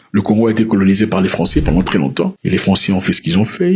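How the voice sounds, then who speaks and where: A man with a non-native accent and very wide pitch swings, over noticeable background noise. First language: not French (speaking French). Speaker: news commentator. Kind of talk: news commentary monologue. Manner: explanatory, conversational.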